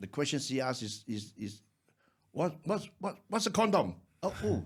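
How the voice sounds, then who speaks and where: With vocal fry running through his words, a man talks at a moderate pace on a very clean recording with a silent background. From Malaysia. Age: 60s. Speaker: actor. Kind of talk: casual chat. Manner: halting.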